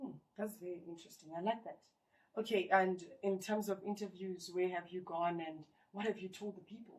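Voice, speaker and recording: A woman speaks in a normal speaking voice at a medium pitch with fairly even intonation. Her loudness swings widely. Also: fairly quick pace. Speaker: talk show presenter. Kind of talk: interviewer talk show hosting.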